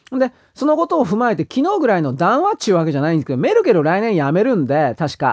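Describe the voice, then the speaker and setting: Speaking at a very fast pace, a man with a high pitch swings very widely up and down in pitch. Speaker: political commentator. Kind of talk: solo monologue commentary. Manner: casual, rambling with fillers.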